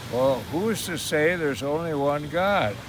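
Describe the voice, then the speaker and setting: A voice with an American accent comes through noticeable background noise and audible room echo. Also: man. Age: 90s. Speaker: war veteran. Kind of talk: casual chat.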